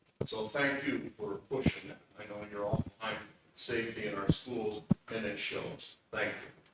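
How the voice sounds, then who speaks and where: Over noticeable background noise, the voice moves at a moderate pace with fairly even intonation. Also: man, fairly low pitch for a man, big swings in loudness. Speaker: community member, public safety worker. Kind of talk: public comment at school board meeting. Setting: school board meeting with audience. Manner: loud.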